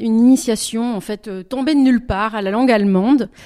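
A woman speaks at a fairly high pitch and a fairly slow pace. Her tone is dark and mellow. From southwestern France, Bordeaux. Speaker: singer-songwriter. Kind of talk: interview. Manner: halting.

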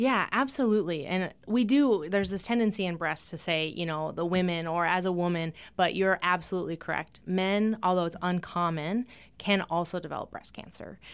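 With an American accent, a woman has an unremarkable speaking voice at medium pitch with ordinary pitch variation, talking fairly quickly on a very clean recording with a silent background. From eastern Montana. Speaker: breast surgeon. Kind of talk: interview. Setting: studio.

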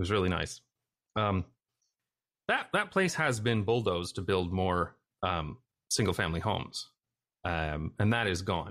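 A man with a Canadian accent speaks at a moderate pace in a very deep, low pitch, with ordinary pitch variation and very even loudness. He takes long, frequent pauses against a quiet background. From Canada. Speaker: YouTuber on urban design. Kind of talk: interview conversation.

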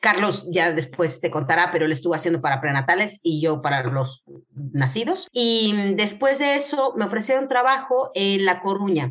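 Speech moves along at a moderate pace. Its pitch jumps through very wide swings. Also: woman, medium pitch for a woman. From Mexico, Querétaro. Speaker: medical geneticist. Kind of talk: interview.

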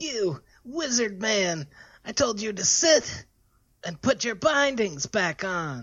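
A put-on character voice with a fairly high pitch. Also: fairly slow pace. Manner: screaming, furious.

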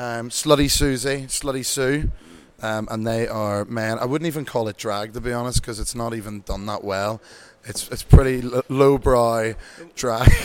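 At a moderate pace, a man speaks at a medium pitch with fairly even intonation and big swings in loudness. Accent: Irish. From Ireland. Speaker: bingo host. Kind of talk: casual interview chat. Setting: town hall, live event.

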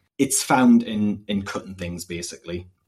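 A man speaks in a Northumbrian accent. His pace is moderate. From northern England, Northumberland. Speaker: PhD student and political activist. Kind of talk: casual interview about politics.

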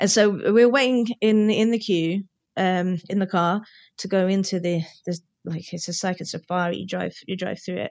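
A woman with a British accent mumbles at a moderate pace, her medium pitch held in fairly even intonation. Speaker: podcast co-host. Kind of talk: casual chat. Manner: mumbles, runs words together.

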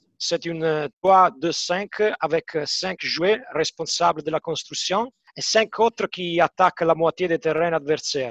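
A high-pitched man speaks very slowly, with ordinary pitch variation and hardly any pauses. The sound is dry and close, with no echo. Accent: Italian. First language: Italian (speaking French). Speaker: football match analyst. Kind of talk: casual chat.

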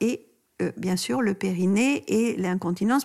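Her medium-pitched voice shows vocal fry and very wide pitch swings as this woman speaks. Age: 70s. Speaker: doctor and author on pregnancy and postpartum care. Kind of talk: interview. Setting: in-person studio recording with masks over the mics.

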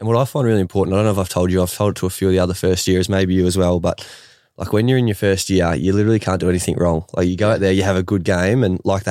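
Talking at a very fast pace, a man with an Australian accent uses a very deep, low pitch with fairly even intonation and very even loudness. The recording is very clean with a silent background. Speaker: AFL player and podcast host. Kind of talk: casual interview chat.

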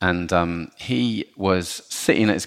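This man has a southern English accent and a very deep, low pitch, with ordinary pitch variation. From southern England, Portsmouth. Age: 40s. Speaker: chocolate company executive. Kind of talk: podcast interview. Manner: halting, repeats words.

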